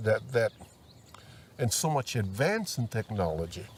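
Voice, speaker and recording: This man talks in a Hawaiian accent. His pitch sits in the medium range. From Maui, Hawaii. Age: 80s+. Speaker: retired farmer. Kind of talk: oral history interview.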